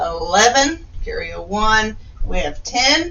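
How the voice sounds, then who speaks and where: A woman talks at a very slow pace. Audible room echo surrounds her voice. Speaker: teacher. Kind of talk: tutorial.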